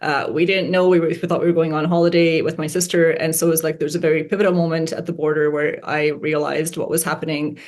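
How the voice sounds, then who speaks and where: A woman talks at a very fast pace with hardly any pauses. Her fairly low voice keeps a monotone, flat intonation. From Canada, arrived age ten from Romania. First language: Hungarian. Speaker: investor. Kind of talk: interview. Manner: many fillers and restarts.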